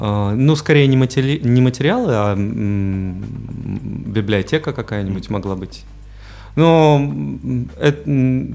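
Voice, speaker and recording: With music in the background, a man speaks at a very slow pace. His fairly low voice makes very wide pitch swings. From Belarus, Mogilev. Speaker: photographer and DJ. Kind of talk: casual interview. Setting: radio studio. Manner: hesitant, many fillers.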